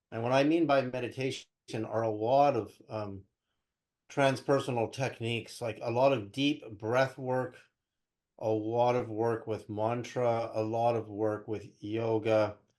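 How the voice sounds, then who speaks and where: In a quiet background, a man with an unremarkable speaking voice talks at a fairly slow pace with fairly even intonation. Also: medium pitch for a man. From California (Berkeley), born in Canada. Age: 60s. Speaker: spiritual researcher and interview guest. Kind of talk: interview, personal storytelling.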